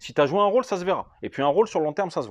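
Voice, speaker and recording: The speaker is a man with a high pitch. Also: dry, close sound with no echo. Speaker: real estate investment trainer, YouTuber. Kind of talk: casual FAQ video, answering viewer questions. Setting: at home.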